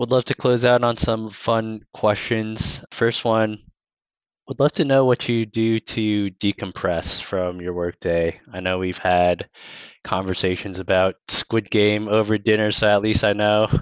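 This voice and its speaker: A plain, everyday voice from a man, fairly low in pitch, fairly slow and with fairly even intonation. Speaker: institutional investor interviewer. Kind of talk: interview.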